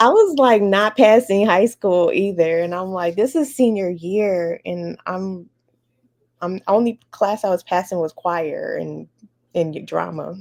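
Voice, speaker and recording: A woman with an American accent speaks at a fairly slow pace, at a medium pitch with ordinary pitch variation. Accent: American; can switch on Bahamian. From Chicago area, US Midwest. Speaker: educator. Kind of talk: interview, personal story. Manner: conversational, some repetitions.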